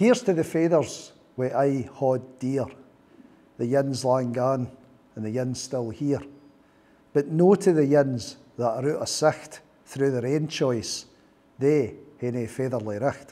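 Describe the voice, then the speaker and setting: A man talks at a fairly slow pace with long, frequent pauses. His tone is dark and mellow, with ordinary pitch variation. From Scotland. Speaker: poet. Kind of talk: poetry reading. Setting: live workshop audience. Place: meeting room. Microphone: lapel.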